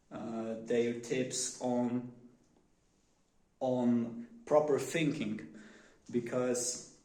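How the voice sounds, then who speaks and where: A man's medium-pitched voice with a Polish accent, dark and mellow in tone, at a very slow pace with long, frequent pauses, monotone, flat intonation and audible room echo. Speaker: vlogger. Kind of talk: casual monologue. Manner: halting, many fillers.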